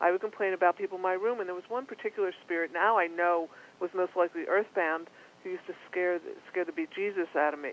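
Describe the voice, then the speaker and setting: Very fast and fairly even in intonation, a woman speaks at a medium pitch, the sound dry and close with no echo. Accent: Philadelphia. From Philadelphia, US East Coast. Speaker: psychic medium. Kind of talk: interview.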